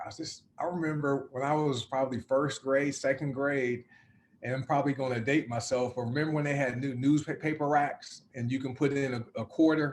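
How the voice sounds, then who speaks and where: Here a man speaks in a Southern US accent. His pitch is fairly high. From US South. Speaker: success coach. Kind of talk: interview. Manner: halting.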